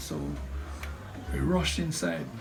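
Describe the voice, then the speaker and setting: Music plays in the background as a man speaks at a moderate pace, his voice carrying audible room echo. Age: 70s. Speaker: storm survivor. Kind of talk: oral history interview testimony. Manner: halting with repetitions.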